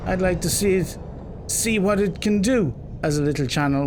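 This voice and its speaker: A man talks at a moderate pace, his intonation lively, while noticeable background noise and audible room echo surround him. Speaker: gaming YouTuber. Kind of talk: let's play commentary. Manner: casual, animated.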